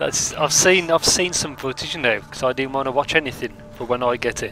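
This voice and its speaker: Noticeable background noise sits behind a man speaking fairly quickly. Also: medium pitch for a man, ordinary pitch variation. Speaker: gaming streamer. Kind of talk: live gameplay commentary.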